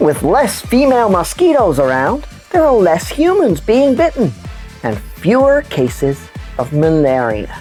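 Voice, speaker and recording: Clear music plays in the background behind a cartoonish character voice. It sits at a middle pitch and moves at a moderate pace. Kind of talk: children's puppet news show.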